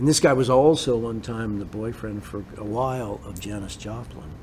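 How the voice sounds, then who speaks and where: Somewhat breathy and fairly low-pitched, a man's voice carries audible room echo. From US Pacific Northwest (Bremerton, Washington). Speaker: songwriter and musician. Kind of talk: casual interview storytelling.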